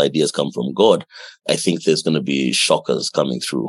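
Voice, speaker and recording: Vocal fry colors a man's speech at a fairly quick pace. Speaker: engineer and makerspace founder. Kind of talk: interview.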